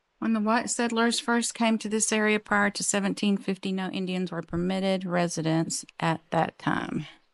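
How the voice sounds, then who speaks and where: In an ordinary speaking voice, a woman talks at a fairly low pitch and moderate pace, with a dry sound, no echo and a quiet background. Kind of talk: reading a sign aloud. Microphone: phone near.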